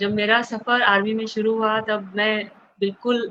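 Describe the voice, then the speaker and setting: Monotone, flat delivery from a woman with a fairly high pitch. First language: South Indian language, not Hindi (speaking Hindi). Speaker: author, army wife. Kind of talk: panel talk at book discussion.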